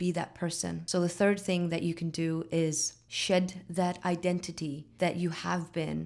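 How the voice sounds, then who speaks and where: Fairly low in pitch, a woman speaks at a fairly slow pace in a monotone, flat intonation. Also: very clean recording, silent background. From Faroe Islands. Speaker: mindset coach. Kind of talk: casual talk to camera.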